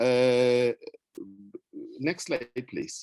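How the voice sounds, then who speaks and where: A man's medium-pitched voice in a dry, close sound with no echo. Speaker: pediatrician speaking at a club training. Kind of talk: presentation with slides. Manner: hesitant with fillers.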